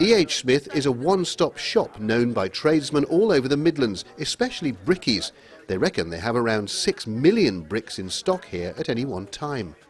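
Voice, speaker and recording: Using vocal fry, a man talks at a moderate pace with hardly any pauses and very wide pitch swings. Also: medium pitch for a man. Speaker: TV news reporter. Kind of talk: TV news report.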